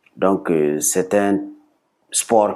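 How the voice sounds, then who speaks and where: A man with a Burkinabe accent at a very slow pace. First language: Bissa (speaking French). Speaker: sport founder. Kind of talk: TV interview. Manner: hesitant, many fillers.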